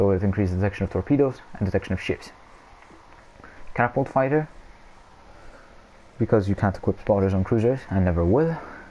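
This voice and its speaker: Very fast in pace yet broken by long, frequent pauses, a man speaks in a dark, mellow tone at a fairly low pitch with ordinary pitch variation. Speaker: gaming youtuber. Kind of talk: gameplay tutorial. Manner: hesitant with fillers.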